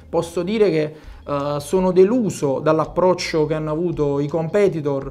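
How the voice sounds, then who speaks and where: The man's pitch moves up and down in an ordinary way as he talks. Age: 30s. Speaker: mayoral candidate, career soldier; candidate. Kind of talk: political interview. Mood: critical, earnest. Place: studio. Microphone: lapel.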